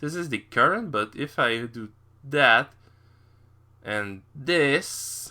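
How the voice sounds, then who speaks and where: A man with a French accent speaks very slowly in a bright, sharp, fairly high voice, his lively intonation and big swings in loudness broken up by long, frequent pauses. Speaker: tech YouTuber. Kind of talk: screen-recorded tutorial walkthrough. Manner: halting, improvised with many fillers.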